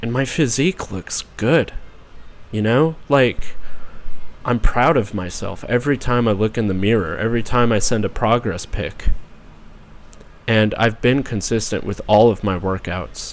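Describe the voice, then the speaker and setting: A man talks with long, frequent pauses. His pitch varies in an ordinary way. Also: fairly slow pace. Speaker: YouTuber and author. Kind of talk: personal video message. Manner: hesitant with fillers.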